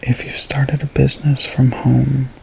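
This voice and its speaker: Soft-spoken, very slow speech over noticeable background noise. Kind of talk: reading aloud from a horoscope book.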